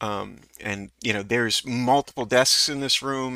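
Ordinary pitch variation in plain reading aloud

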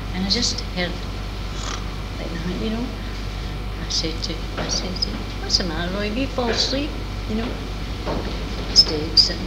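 Amid loud background noise, the speaker moves at a moderate pace with long, frequent pauses. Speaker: interviewee. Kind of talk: interview answer, storytelling. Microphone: old recording.

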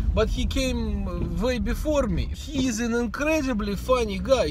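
A man speaks in a dry recording with no echo. Noticeable background noise sits behind him. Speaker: vlogger. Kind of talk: casual vlog chat. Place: car. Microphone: phone near.

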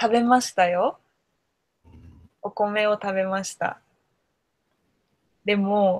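Over a quiet background, a woman speaks. Her intonation is monotone and flat. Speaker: Japanese conversation tutor. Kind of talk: casual conversation for learners. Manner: slow, simple words. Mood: cheerful, smiling, laughing. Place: home room. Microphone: video call.

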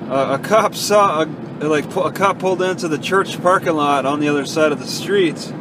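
Speech at a fairly quick pace with ordinary pitch variation comes through in a dry sound with no echo, against noticeable background noise. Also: man. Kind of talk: casual driving narration. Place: car. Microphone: phone near.

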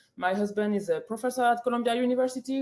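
In a French accent, a woman talks at a fairly high pitch with a dark, mellow tone. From France. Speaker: public hearing speaker. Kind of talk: public testimony. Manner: halting, many fillers.

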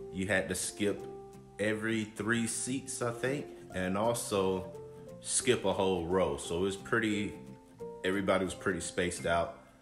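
Ordinary pitch variation over clear background music. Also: man. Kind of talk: casual vlog chat. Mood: relaxed, upbeat. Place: home room. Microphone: phone near.

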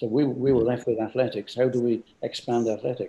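Speaking at a fairly quick pace, a man with an English accent has a dark, mellow tone that is somewhat breathy. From England. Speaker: company founder; guest. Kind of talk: interview. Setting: video call. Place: home room. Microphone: video call.

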